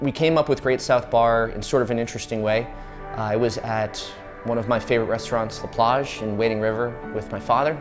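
A man at a fairly quick pace with ordinary pitch variation, clear music in the background. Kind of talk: interview answer. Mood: relaxed, amused storytelling. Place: bar. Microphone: lapel.

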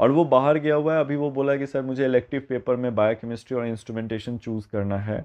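Against a quiet background, a man speaks at a moderate pace. His intonation is fairly even. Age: 30s. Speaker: biology teacher; teacher. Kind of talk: talking-head video monologue; casual talk to students about his teaching. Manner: hesitant, code-switching.

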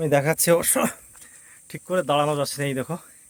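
There is no echo around this man's voice, which has a dry, close sound. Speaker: travel vlogger. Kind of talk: vlog narration while walking. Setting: outdoors, jungle trekking trail.

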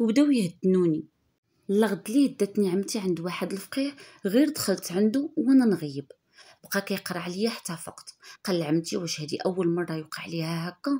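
With a Moroccan accent, a woman speaks in a dark, mellow, somewhat breathy tone with lively intonation. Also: medium pitch for a woman, moderate pace. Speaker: YouTube storyteller. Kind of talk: first-person storytelling.

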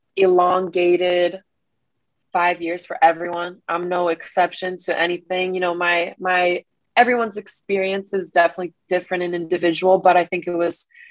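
Against a quiet background, a woman speaks at a fairly low pitch in a monotone, flat intonation. The sound is dry with no echo. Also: moderate pace. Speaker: interviewee. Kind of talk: interview answer. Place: home room. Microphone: webcam.

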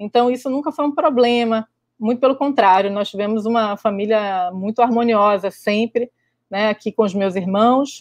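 In a dry sound with no echo and a quiet background, an unremarkable speaking voice moves at a fairly slow pace with ordinary pitch variation. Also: woman. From Brazil, Rio de Janeiro. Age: 40s. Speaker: microbiology professor. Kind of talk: online lecture. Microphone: webcam.

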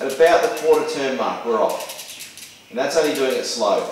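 Strong room echo surrounds a man speaking at a moderate pace with ordinary pitch variation.

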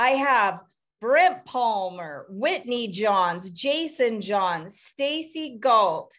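A woman talks at a very slow pace in a fairly high pitch. Her tone is fairly bright and her intonation lively.

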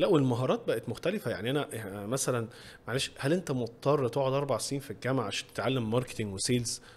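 Here a man speaks at a very fast pace. His fairly high pitch shows ordinary pitch variation. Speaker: podcast host. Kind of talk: casual interview. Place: studio. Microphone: studio mic.

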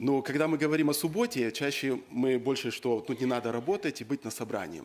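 The man speaks at a fairly quick pace. His intonation is lively. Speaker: preacher. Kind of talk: sermon. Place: church. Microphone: podium.

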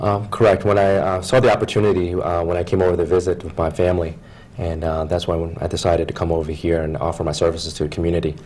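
A man with an American accent talks at a very fast pace in a very deep, low pitch with fairly even intonation and light background noise. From Philadelphia, Pennsylvania; Pennsylvania. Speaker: foot and ankle surgeon; guest. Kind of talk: TV interview. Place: studio.

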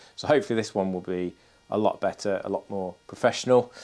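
With an unremarkable speaking voice, a man talks at a fairly quick pace and fairly low pitch. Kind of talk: casual vlog chat. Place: workshop. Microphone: lapel.

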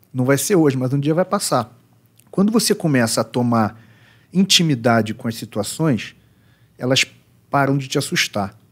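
A man at medium pitch and a moderate pace, lively intonation, long and frequent pauses. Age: 40s. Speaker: psychoanalyst. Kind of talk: casual chat. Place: studio. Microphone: studio mic.

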